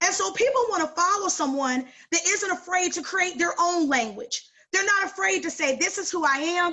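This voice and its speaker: A woman's extremely high-pitched voice, animated in tone, with lively intonation and a moderate pace. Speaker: sales director and coach. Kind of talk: training call talk.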